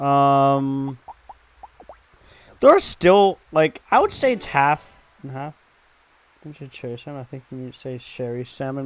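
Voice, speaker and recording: Speaking at a fairly slow pace, a man has a fairly high pitch and ordinary pitch variation. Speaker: gaming streamer. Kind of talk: let's play commentary with chat. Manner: casual, rambling.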